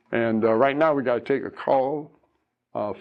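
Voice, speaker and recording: A man has an ordinary speaking voice at medium pitch with ordinary pitch variation. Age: 60s. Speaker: radio advice host. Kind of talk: radio call-in show.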